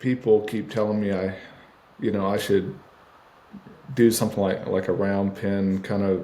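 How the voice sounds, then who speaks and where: A man speaks with a dark, mellow tone and a fairly low pitch. His intonation is monotone and flat, broken by long, frequent pauses. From Texas. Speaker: horse trainer and rancher. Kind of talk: podcast interview. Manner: slow; pauses to think between words.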